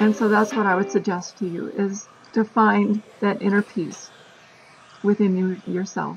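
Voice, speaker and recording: Amid noticeable background noise, a woman with an American accent and medium pitch speaks at a fairly slow pace with fairly even intonation. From US Midwest, Michigan. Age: 60s. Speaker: retired teacher. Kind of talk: interview answers.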